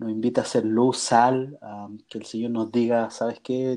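A man speaks with a dark, mellow tone. His pace is fairly slow. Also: quiet background. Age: 30s. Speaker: church youth leader. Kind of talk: interview.

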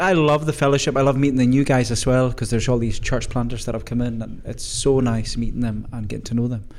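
With noticeable background noise behind him, a man talks at a very fast pace. His pitch is medium. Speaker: minister. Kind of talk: casual group chat.

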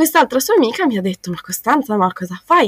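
A woman with a high pitch talks at a fairly quick pace with very wide pitch swings, the sound dry and close with no echo. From South Tyrol, northern Italy. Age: 20s. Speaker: university student. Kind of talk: interview. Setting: remote call.

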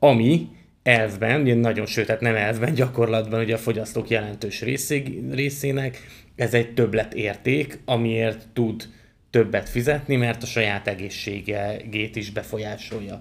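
This man has an ordinary speaking voice at a medium pitch. He talks at a fairly slow pace with fairly even intonation. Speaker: agricultural podcast host. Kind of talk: podcast interview conversation. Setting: studio, guests seated beside him.

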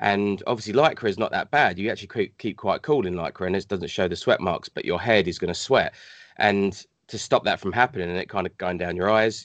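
A man with a British accent and fairly low pitch at a very fast pace, quiet background. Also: dry, close sound with no echo. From Hong Kong. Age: 40s. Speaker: cosplayer and gamer. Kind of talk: casual chat.

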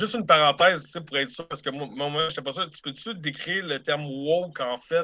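Talking at a fairly quick pace, a man with a Quebec accent has a fairly high pitch, a bright, sharp tone, and ordinary pitch variation. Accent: Québécois French. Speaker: film buff co-reviewer. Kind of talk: casual chat.

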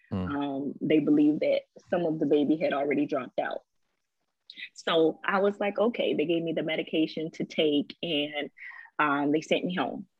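Speaking with an American accent, the voice shows ordinary pitch variation. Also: woman, very deep, low pitch for a woman, moderate pace. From US South, Savannah, Georgia. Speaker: recording artist and speaker. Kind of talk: interview conversation.

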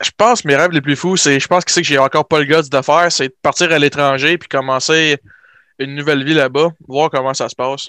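On a very clean recording with a silent background and a dry, close sound with no echo, a man uses an ordinary speaking voice at a fairly high pitch and a fairly quick pace. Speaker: nursing student. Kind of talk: casual chat.

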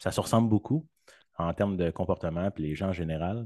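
A man's dark, mellow voice at a fairly quick pace, with ordinary pitch variation and a dry, close sound with no echo against a quiet background. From Quebec. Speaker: podcast guest, sound designer. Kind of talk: casual chat.

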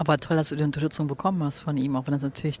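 A woman's flat, monotone delivery. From Germany, Cologne. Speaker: podcast host. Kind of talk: interview. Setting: outdoors on a bench.

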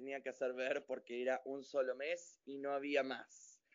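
A man talks at a very slow pace. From Argentina, General Roca, Río Negro (Patagonia). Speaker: professional dancer. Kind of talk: interview.

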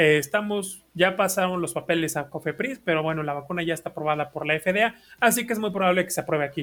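In a very clean recording with a silent background, a man with a Mexican accent and a high pitch talks at a very fast pace with hardly any pauses and ordinary pitch variation. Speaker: podcast co-host. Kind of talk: casual chat.

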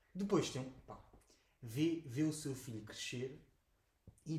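A man speaks in a somewhat breathy, fairly high voice with ordinary pitch variation. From Portugal, Oeste region (Lourinhã). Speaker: podcast co-host. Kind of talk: casual chat. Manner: animated.

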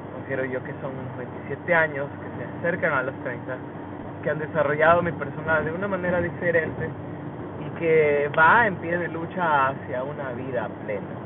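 Noticeable background noise and audible room echo surround a man speaking in a fairly high voice. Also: ordinary pitch variation, moderate pace. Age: 20s. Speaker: podcaster. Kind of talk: casual monologue. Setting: in a car.

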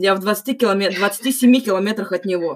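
It is a plain, everyday voice. The pitch variation is ordinary. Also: woman. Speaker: podcast host. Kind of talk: casual chat. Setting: call.

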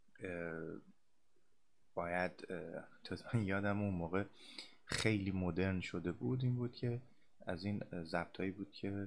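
A man with a very deep, low pitch and ordinary pitch variation, speaking at a very slow pace with long, frequent pauses. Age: 30s. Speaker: podcast host, psychology graduate. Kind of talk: casual monologue. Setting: home recording at a microphone. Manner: halting.

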